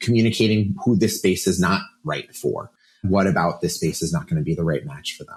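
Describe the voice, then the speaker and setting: Somewhat breathy, a man speaks at a fairly low pitch with very wide pitch swings. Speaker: talent and people strategy leader at a venture firm. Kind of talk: interview conversation. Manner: fast.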